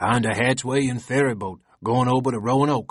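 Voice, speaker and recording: Mumbling in a put-on character voice, a man of medium pitch speaks at a moderate pace with fairly even intonation. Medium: read story. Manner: mumbling, sullen.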